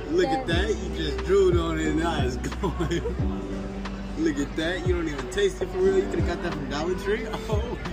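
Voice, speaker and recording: Loud music plays in the background as the speaker keeps a moderate pace. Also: man. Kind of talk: casual vlog chat. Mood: teasing, laughing. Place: street. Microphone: phone near.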